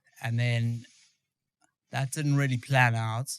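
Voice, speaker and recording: A man speaks very slowly in a South African accent. His pitch sits in the medium range. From South Africa, Johannesburg. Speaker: former special forces soldier. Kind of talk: interview. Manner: halting.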